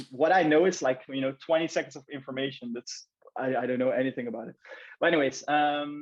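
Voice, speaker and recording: A man talks at a very fast pace in a fairly high pitch. His intonation stays fairly even. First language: not English. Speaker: branding specialist and podcast host. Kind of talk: casual chat. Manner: halting, many fillers and repetitions.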